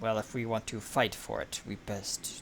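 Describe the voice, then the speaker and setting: Against clear background noise, a man uses a put-on character voice at a medium pitch and a moderate pace. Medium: actual play. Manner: gruff.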